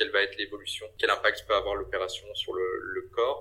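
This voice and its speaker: A man's voice at a fairly quick pace. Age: 30s. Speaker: business consultant and cancer survivor. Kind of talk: interview testimony. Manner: hesitant with frequent repetitions.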